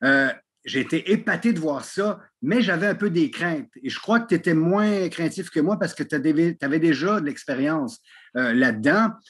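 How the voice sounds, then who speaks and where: A man talks in a high pitch with lively intonation. His pace is moderate, and the background is quiet. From Quebec, Montreal, raised by French parents. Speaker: wrestling commentator. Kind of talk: casual interview chat. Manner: animated.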